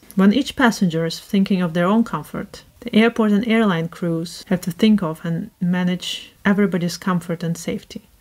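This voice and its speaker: A woman speaks with a somewhat breathy voice. The background is quiet. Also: ordinary pitch variation, moderate pace, hardly any pauses. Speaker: book reviewer. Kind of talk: casual talk to camera. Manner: robotic, scripted. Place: home room.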